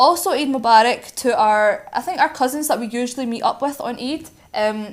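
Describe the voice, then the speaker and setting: Lively intonation marks this voice, which speaks in a Scottish accent. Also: woman, high pitch for a woman. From Scotland. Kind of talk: casual chat. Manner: fast.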